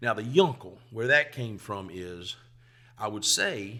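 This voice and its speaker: A man's bright, sharp, fairly low-pitched voice in a Southern US accent. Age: 50s. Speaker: comedian. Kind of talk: casual chat.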